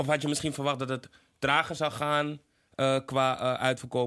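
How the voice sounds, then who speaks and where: A bright, sharp tone at a fairly quick pace, on a very clean recording with a silent background. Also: man. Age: 20s. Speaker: podcast host. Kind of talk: casual chat. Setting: studio.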